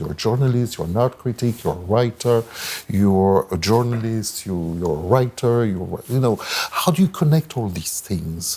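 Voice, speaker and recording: Noticeable background noise sits behind a man speaking at a moderate pace. His fairly low voice has lively intonation. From France. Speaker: moderator. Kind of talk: panel moderation.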